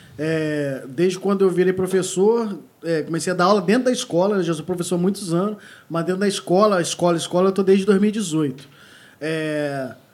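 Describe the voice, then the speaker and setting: High male voice, its pitch varying in an ordinary way. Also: moderate pace. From Sul Fluminense, Rio de Janeiro state, Brazil. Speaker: musician and music teacher. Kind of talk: casual chat.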